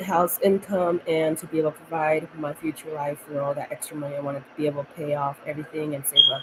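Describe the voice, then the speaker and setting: A woman talks very fast in a very deep, low voice with monotone, flat intonation. Noticeable background noise runs underneath. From United States, Mexican-American family. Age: 20s. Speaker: vlogger. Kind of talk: casual chat. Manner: rambling, halting.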